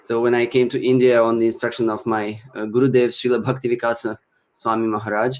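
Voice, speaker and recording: A man at medium pitch, talking at a very fast pace with monotone, flat intonation. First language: Russian. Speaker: Sanskrit chanting teacher and musician. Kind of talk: interview talk / casual presentation. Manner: halting, many fillers.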